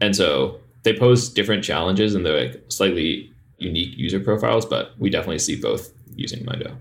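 Over noticeable background noise, a man speaks at a fairly quick pace in a fairly low pitch, his intonation lively. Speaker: startup founder. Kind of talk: casual interview.

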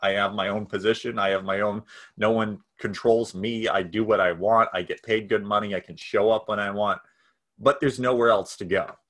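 Speaking fairly quickly, a man with an American accent uses a fairly low pitch. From US Northeast, New Hampshire. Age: 20s. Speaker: nonprofit founder and entrepreneur. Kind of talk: casual interview. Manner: halting, many fillers and restarts.

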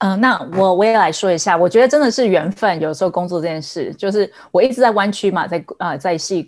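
On a very clean recording with a silent background, a woman with a Taiwanese accent speaks fairly quickly at a medium pitch, with ordinary pitch variation and hardly any pauses. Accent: Taiwanese Mandarin. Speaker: ad tech executive. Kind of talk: casual panel discussion.

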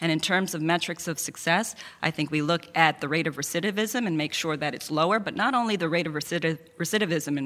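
In an American accent, a woman with an ordinary speaking voice talks at a fairly quick pace, her fairly low pitch showing ordinary variation. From Queens, New York. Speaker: lawyer, district attorney candidate. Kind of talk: candidate debate. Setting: event hall with audience.

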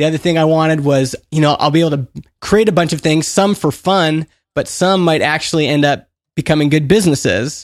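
A plain, everyday voice: a man with a Canadian accent, fairly high in pitch with ordinary pitch variation, at a fairly quick pace and very even loudness. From Canada, Edmonton. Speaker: author and indie entrepreneur. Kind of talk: interview conversation.

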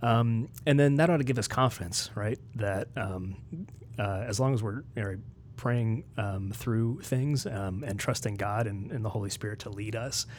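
With an American accent, a man at medium pitch sounds somewhat breathy. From West Virginia. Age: 40s. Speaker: ethics and theology researcher. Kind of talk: casual interview. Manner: hesitant, many fillers.

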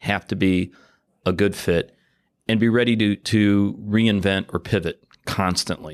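A man with a normal speaking voice, fairly low pitch and fairly even intonation, at a moderate pace over a quiet background. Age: 50s. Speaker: podcast host. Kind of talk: casual interview conversation. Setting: guest's company office.

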